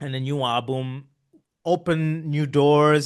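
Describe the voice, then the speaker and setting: A man speaks with an Italian accent and fairly even intonation. The background is quiet. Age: 30s. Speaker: podcast host. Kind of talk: casual interview conversation. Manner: halting, many repeated words.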